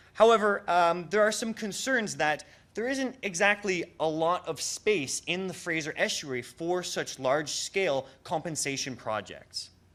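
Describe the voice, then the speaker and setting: Very cleanly recorded with a silent background, a man speaks at a high pitch and fairly slow pace with lively intonation and hardly any pauses. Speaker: conservation researcher giving a public talk. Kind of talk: public lecture. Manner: hesitant, many fillers.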